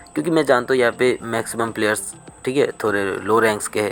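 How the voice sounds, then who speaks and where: A man at medium pitch speaks with music in the background. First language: not Hindi (speaking Hindi). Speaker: gaming clan leader. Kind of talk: tutorial.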